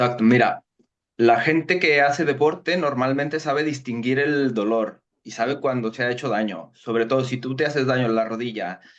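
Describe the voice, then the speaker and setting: Against a quiet background, a man with a slight Mexican accent speaks at medium pitch. His pace is moderate and his pitch variation ordinary. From Mexico. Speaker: sports medicine doctor. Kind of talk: interview.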